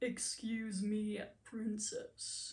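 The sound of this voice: A woman puts on a character voice at a fairly high pitch.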